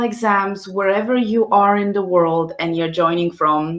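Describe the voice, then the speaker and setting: A woman with a Polish accent talks at a fairly slow pace. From Poland. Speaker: scientist hosting a live science careers session. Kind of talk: live stream talk. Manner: hesitant, many fillers.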